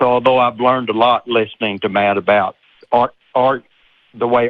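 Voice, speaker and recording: A man talks with a Southern accent. His intonation is fairly even and his pace moderate. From US South, Texas. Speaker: caller, engineer. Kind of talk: call-in discussion. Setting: phone call. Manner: hesitant.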